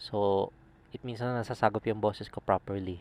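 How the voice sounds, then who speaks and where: A man's fairly low, monotone, flat voice at a moderate pace, dry and close with no echo. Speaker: motovlogger reviewing gear. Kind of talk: product review vlog. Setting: riding a motorcycle, wearing a helmet. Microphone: helmet visor closed, maybe muffled.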